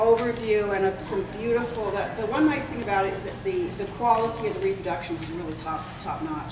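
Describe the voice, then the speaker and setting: A woman talks at a very fast pace with ordinary pitch variation, and noticeable background noise and audible room echo surround her. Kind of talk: announcements to an audience. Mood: friendly, light. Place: hall. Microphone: camera far.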